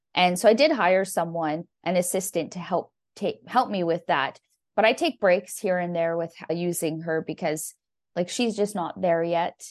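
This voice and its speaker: At a moderate pace over a quiet background, a plain, everyday voice with a Canadian accent shows ordinary pitch variation. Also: woman, fairly low pitch for a woman. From Canada. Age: 30s. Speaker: landscape photographer. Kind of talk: casual chat.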